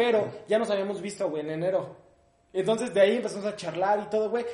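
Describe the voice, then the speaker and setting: Speaking at a fairly quick pace with a Mexico City accent, a man uses a high pitch and ordinary pitch variation, with audible room echo and noticeable background noise. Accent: Mexico City area Mexican Spanish. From Mexico, Ecatepec (State of Mexico). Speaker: comedian. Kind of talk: casual chat.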